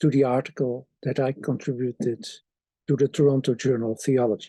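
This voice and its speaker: In a non-native accent, a man speaks at medium pitch with a dark, mellow tone, somewhat breathy, the sound dry and close with no echo. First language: Dutch. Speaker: theology professor. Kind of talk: author's introduction to an article.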